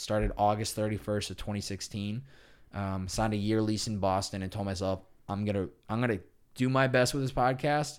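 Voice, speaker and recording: With a plain, everyday voice, a man talks at a fairly quick pace in a fairly low pitch with ordinary pitch variation, on a very clean recording with a silent background. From Massachusetts, Chicopee. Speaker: podcast host. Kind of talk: casual chat.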